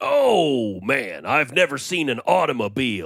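A put-on character voice at a low-to-middle pitch and a fairly slow pace. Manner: comic, exaggerated.

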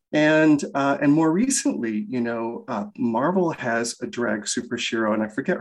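Over a quiet background, a man speaks at a moderate pace. He has an ordinary speaking voice. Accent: American. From rural Michigan, US Midwest. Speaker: animation creator and writer. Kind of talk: interview.

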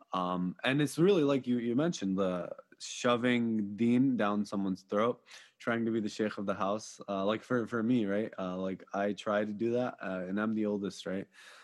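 With a normal speaking voice, this man talks at a moderate pace in a fairly low pitch with ordinary pitch variation against a quiet background. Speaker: podcast host. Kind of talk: casual interview.

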